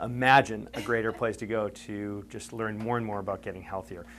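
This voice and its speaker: Speaking fairly quickly, a man delivers his words. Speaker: chiropractor giving a health workshop. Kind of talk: health workshop talk to a live audience. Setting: room with live audience. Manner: fast; animated.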